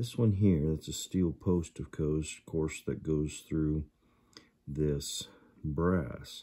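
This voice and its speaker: Over a quiet background, a man speaks at a very slow pace with a very deep, low pitch, a dark, mellow tone and fairly even intonation. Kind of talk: tutorial. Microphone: phone near.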